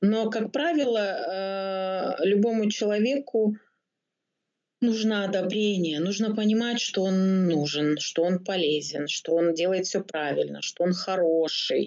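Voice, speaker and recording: A woman speaks at a very slow pace, her loudness very even. Her pitch is medium with ordinary pitch variation. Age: 40s. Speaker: psychologist. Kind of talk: interview.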